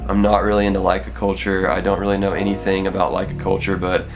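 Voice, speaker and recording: Someone with an American accent talks at a fairly quick pace over noticeable background noise, with audible echo in the room. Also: man. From Texas. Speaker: photography YouTuber. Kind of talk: casual vlog talk to camera. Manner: casual, filler-heavy.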